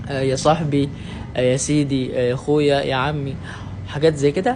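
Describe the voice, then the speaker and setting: A man speaks with an Indonesian accent at a fairly high pitch. Audible room echo and noticeable background noise are present. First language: Indonesian (speaking Arabic). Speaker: language learner vlogger. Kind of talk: casual talk to camera. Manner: halting, many filler sounds.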